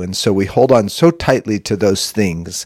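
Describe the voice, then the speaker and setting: A man with a normal speaking voice at a fairly slow pace, ordinary pitch variation, dry, close sound with no echo, and a very clean recording with a silent background. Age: 50s. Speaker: podcast host. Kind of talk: solo reflective monologue.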